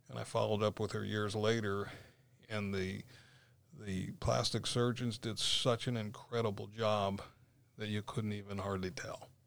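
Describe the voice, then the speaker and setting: This is a normal speaking voice from a man with a fairly low pitch and an American accent. He talks at a moderate pace with fairly even intonation. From Florida, St. Petersburg. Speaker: former police officer and property developer. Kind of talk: casual interview. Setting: studio.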